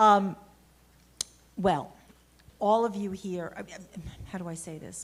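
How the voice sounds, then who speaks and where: A woman in a New York accent speaks with fairly even intonation and long, frequent pauses, with audible room echo around her. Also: medium pitch for a woman, fairly slow pace. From Brooklyn, New York. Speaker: lawyer. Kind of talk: conference talk. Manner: halting.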